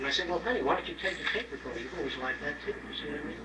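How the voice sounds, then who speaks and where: A man talks over light background noise, with audible room echo. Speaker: lecturer. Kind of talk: lecture. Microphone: old recording.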